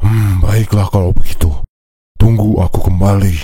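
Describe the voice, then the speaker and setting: In a cartoonish character voice, a man speaks at a fairly low pitch. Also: moderate pace. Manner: blunt, domineering.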